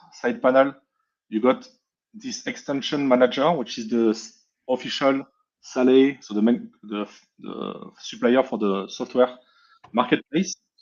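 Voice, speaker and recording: A man with a French accent, medium pitch and moderate pace, against a quiet background. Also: long, frequent pauses, big swings in loudness. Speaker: hardware hacker presenting software. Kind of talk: technical presentation.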